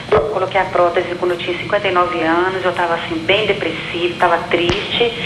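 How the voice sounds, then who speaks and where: Monotone, flat intonation at a fairly quick pace over noticeable background noise. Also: woman, fairly low pitch for a woman. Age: 60s. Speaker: TV viewer caller. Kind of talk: phone question to a doctor.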